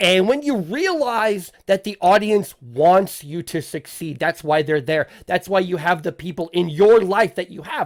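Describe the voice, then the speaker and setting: This man's voice is high-pitched with lively intonation and hardly any pauses. The sound is dry and close, without echo. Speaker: podcast host. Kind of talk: casual interview chat. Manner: halting with repetitions.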